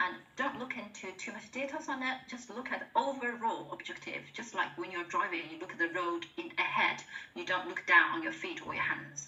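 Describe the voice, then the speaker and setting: Her pitch swinging very widely, a woman with a Chinese accent speaks at a moderate pace. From China. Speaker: presentation skills speaker at work webinar. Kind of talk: workplace webinar presentation. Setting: online video call webinar. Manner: halting, repeats words.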